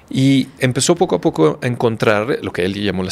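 Moving at a moderate pace, a man at a medium pitch swings his pitch very widely. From Mexico. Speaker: physician. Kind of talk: interview conversation.

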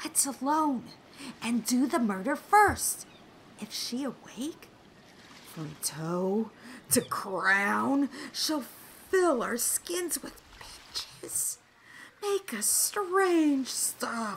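A female-sounding put-on character voice whispers at a very slow pace. Long pauses come often. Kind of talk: Shakespearean stage verse. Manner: whispering, urgent, fawning.

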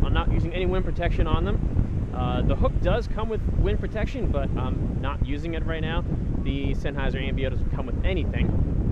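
A man talks at a fairly quick pace. Loud background noise surrounds a dry sound with no echo. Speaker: gear reviewer. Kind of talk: casual vlog chat. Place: beach. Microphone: earbuds.

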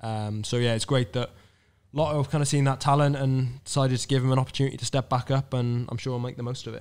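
A man with a Cardiff accent speaks at a very fast pace in monotone, flat intonation. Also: medium pitch for a man. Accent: Welsh (Cardiff). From Wales, Cardiff; Wales. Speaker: professional road cyclist; podcast guest or host. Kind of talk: casual chat. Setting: stage with live audience. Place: hall. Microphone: studio mic.

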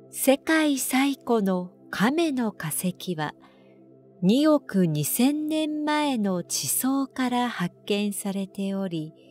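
Against music in the background, a woman speaks at a very slow pace in a calm tone, her fairly high pitch making very wide swings, the sound dry and close with no echo. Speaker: announcer. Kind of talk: sleep trivia narration. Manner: calm, slow.

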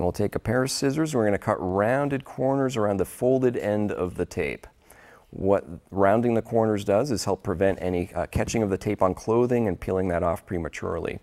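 Over a quiet background, a man with a fairly low pitch and ordinary pitch variation speaks in a dark, mellow tone. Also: fairly quick pace. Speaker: sports tape instructor. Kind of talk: tutorial. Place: studio. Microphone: lapel.

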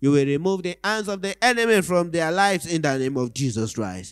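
Lively intonation marks this man's moderate pace. The sound is dry with no echo, over a quiet background. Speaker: church prayer leader. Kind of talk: fervent prayer and devotional reading. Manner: fervent, earnest, reverent. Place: church. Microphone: handheld.

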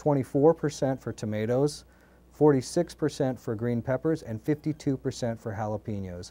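His pitch moves in an ordinary way. The male speaker has a dark, mellow tone. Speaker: company executive. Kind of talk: interview. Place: studio. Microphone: lapel.

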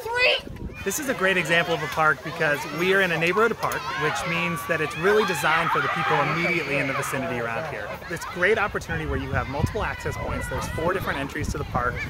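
Words come at a very fast pace with hardly any pauses, over loud background noise, in a dry sound with no echo. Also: man. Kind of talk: interview answer. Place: open country.

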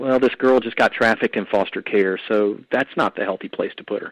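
A man with a Southern US accent at a very fast pace, in a dry, close sound with no echo. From US South, Atlanta, Georgia. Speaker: anti-trafficking ministry leader and trucking company owner. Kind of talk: testimony and teaching on a call-in show.

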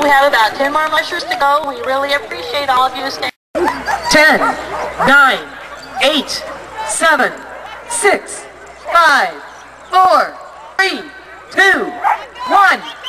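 A woman talks in a raised, projected voice at a very slow pace, with long, frequent pauses. Crowd noise can be heard behind her. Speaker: race announcer. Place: open country.

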